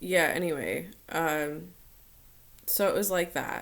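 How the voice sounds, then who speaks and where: In a room with audible echo, a woman talks at a very slow pace with a fairly low pitch. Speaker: vlogger. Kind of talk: personal vlog talk. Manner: hesitant, many fillers.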